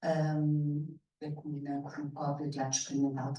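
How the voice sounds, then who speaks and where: A woman's very deep, low pitch, with audible room echo. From Mozambique. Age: 60s. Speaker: actress and theatre director. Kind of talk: panel conversation. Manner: halting.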